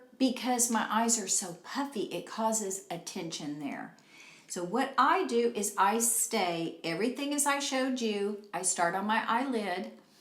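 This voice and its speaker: The delivery is fairly slow, with lively intonation. Noticeable background noise and audible room echo are present. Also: woman. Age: 60s. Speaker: beauty vlogger. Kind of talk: tutorial. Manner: casual, conversational.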